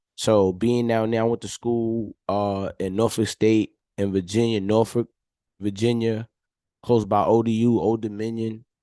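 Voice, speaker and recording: Against a quiet background, a man talks at a fairly slow pace in a medium pitch, his tone dark and mellow, his intonation flat and monotone, the sound dry and close with no echo. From New York City, Harlem. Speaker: entrepreneur. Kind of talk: casual chat.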